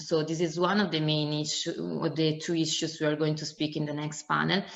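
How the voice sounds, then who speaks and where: Someone speaks with an Italian accent in monotone, flat intonation, with audible room echo. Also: woman. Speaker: conference moderator. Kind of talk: conference moderation. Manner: hesitant, many fillers.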